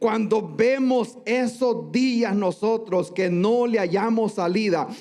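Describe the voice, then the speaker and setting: A man with a high pitch speaks at a very slow pace, with very even loudness and fairly even intonation. Noticeable background noise is present. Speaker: pastor. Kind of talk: sermon. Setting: church.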